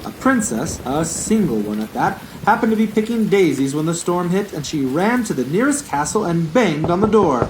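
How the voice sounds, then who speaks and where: A man's high-pitched, fairly quick speech with very wide pitch swings amid noticeable background noise. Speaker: librarian puppeteer. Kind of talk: children's puppet show narration. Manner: playful, storytelling.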